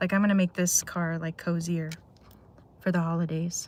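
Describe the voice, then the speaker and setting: A woman's somewhat breathy voice. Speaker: live streamer. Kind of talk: casual chat. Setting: in a car. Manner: monotone.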